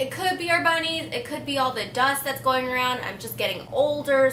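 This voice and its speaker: Her voice is raised and projected, high in pitch, at a fairly quick pace. This woman is heard with audible room echo and noticeable background noise. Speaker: beauty vlogger. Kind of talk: casual chat. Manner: casual, rambling.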